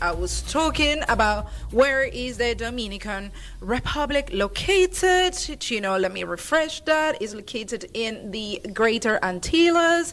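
A woman's high voice at a moderate pace, with very wide pitch swings, over noticeable background noise. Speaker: radio host. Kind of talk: casual chat. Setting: studio.

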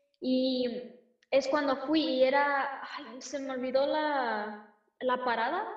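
A woman's high-pitched voice, very slow in pace, with fairly even intonation. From United States, Mexican-American. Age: 20s. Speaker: singer-songwriter. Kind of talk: casual interview chat.

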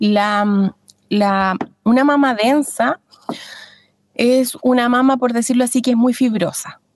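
A woman's very slow delivery with long, frequent pauses, fairly even intonation and very even loudness. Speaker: midwife. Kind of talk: interview explaining health topic. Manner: halting.

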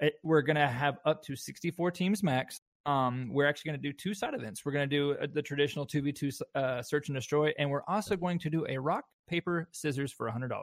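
A man with an American accent speaks at a fairly quick pace, with fairly high pitch. Pitch variation is ordinary, and the sound is dry and close with no echo. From US South. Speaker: esports event organizer. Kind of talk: casual chat.

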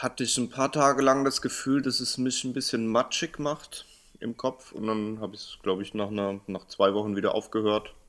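A man's medium-pitched voice at a moderate pace with ordinary pitch variation, on a very clean recording with a silent background. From Hanau-Steinheim, Hesse, Germany. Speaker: podcast co-host. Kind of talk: casual chat.

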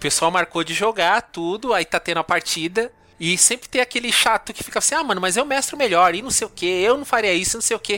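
The voice is raised and projected, with lively intonation at a very fast pace and hardly any pauses. The sound is dry and close with no echo. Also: man, high pitch for a man. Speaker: podcast host. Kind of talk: casual chat.

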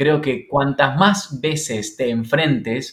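Medium-pitched male speech full of lively intonation. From Argentina, Santa Fe. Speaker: singer, actor, teacher. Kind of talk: interview. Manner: halting, with many fillers.

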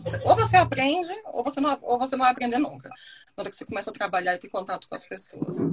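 Very wide pitch swings at a very fast pace. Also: woman. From Brasília, Brazil. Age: 30s. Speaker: expat guest, digital marketer. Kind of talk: casual interview chat.

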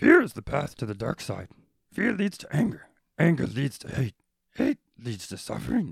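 In a put-on character voice, a man with a fairly high pitch talks with long, frequent pauses. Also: moderate pace.

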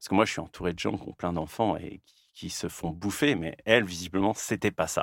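A man speaks with a fairly low pitch. The recording is very clean with a silent background, dry and close with no echo. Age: 40s. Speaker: podcast host, comic artist. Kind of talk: casual chat. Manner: halting.

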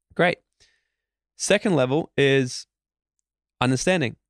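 Animated and fairly quick, the speaker uses lively intonation with an Australian accent in a very clean, dry, close recording with a silent background and no echo. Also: man. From Australia, Queensland. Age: 20s. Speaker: motivational speaker. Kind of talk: interview. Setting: studio.

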